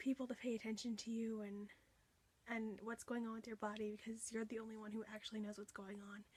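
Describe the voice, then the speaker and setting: Somewhat breathy and fairly high-pitched, this woman talks at a fairly quick pace with a monotone, flat intonation. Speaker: vlogger. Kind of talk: personal testimony. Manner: hesitant, many fillers.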